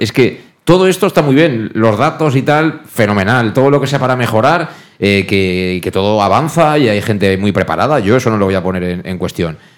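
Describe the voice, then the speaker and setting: His delivery is fairly brisk. The man's pitch rises and falls across a very wide range. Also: medium pitch for a man. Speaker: radio host. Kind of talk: sports talk show.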